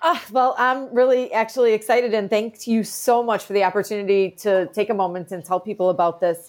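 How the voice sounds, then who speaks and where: Speaking at a fairly quick pace with hardly any pauses, a woman uses an unremarkable speaking voice. Her pitch is fairly high, with ordinary pitch variation. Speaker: podcast co-host. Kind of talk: casual chat. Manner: excitable.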